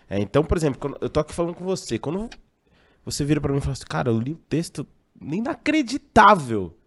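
In a dry, close sound with no echo, a man talks at a very fast pace and fairly high pitch, his pitch swinging very widely. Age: 30s. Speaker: radio sports commentator. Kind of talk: panel discussion.

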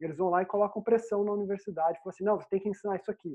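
This voice belongs to a woman. It is medium in pitch. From Brazil, Vale do Paraíba (Pindamonhangaba). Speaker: software developer. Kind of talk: interview.

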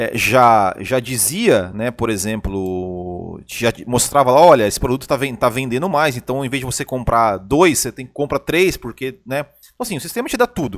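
The recording is very clean, and the background is silent. Here a man talks with lively intonation at a moderate pace. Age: 30s. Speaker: podcast co-host and commentator, former sales representative. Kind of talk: casual chat. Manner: halting, frequent repetitions.

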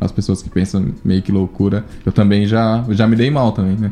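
Music plays in the background. Over it, a man talks with a fairly low pitch and fairly even intonation. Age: 20s. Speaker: biologist and company CEO. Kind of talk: casual chat.

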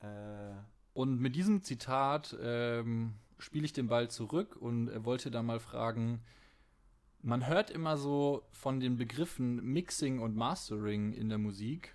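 This man's voice has a medium pitch and ordinary pitch variation. He speaks very slowly. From Franconia, Bavaria (Fürth district). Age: 20s. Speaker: podcast host, video editor. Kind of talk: casual chat.

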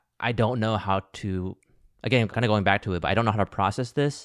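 A plain, everyday voice with an American accent moves at a fairly quick pace with ordinary pitch variation, recorded very cleanly against a silent background. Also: man. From US Midwest and South (Ohio, Alabama). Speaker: podcast host. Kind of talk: podcast interview; scripted narration.

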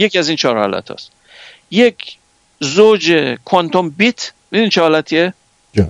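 A high-pitched man with lively intonation at a moderate pace, long, frequent pauses, and a dry, close sound with no echo. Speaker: scientist. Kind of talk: lecture.

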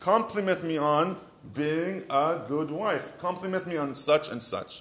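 Over noticeable background noise, a man with an Israeli accent and a high pitch speaks at a fairly slow pace with lively intonation. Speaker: marriage advice rabbi. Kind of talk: short advice talk.

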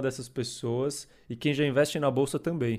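The man's intonation is monotone and flat. His pitch stays medium. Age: 20s. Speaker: co-host, fund manager. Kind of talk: casual chat.

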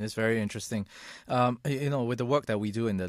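A man speaks in a normal speaking voice, fairly low-pitched, with ordinary pitch variation. The recording is very clean with a silent background and a dry, close sound free of echo. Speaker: podcast host. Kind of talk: casual interview chat.

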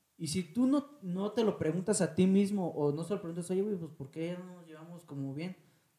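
With a Mexican accent, a man speaks at a moderate pace in a high pitch with a dark, mellow tone, ordinary pitch variation, big swings in loudness and hardly any pauses. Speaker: podcast co-host. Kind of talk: casual chat.

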